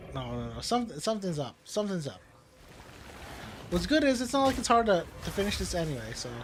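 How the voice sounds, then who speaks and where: A man's high voice with very wide pitch swings, a fairly quick pace and long, frequent pauses, amid noticeable background noise. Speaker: video game streamer. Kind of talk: gameplay commentary. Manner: soft on word endings; halting, repeats words.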